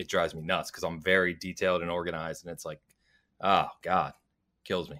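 The man's pitch is very deep and low. He speaks at a fairly quick pace. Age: 40s. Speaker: gaming website founder and reviewer. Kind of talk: casual chat.

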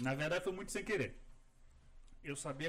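Talking at a fairly quick pace with fairly even intonation, a man of fairly high pitch speaks with a Rio de Janeiro accent. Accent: Carioca Brazilian Portuguese. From Rio de Janeiro, Brazil. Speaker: landscape architect. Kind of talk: casual chat. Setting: studio video podcast, live stream.

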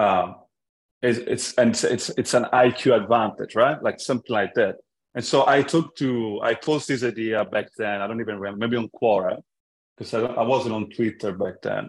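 This man speaks with an Italian accent at a moderate pace. His pitch sits in the medium range and varies in an ordinary way. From Italy, Florence. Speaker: tech startup founder. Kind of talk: casual interview conversation. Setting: remote call.

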